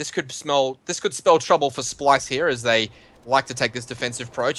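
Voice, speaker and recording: A man with an Australian accent speaks at a fairly high pitch, with noticeable background noise behind him. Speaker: esports caster. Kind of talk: live commentary. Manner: animated.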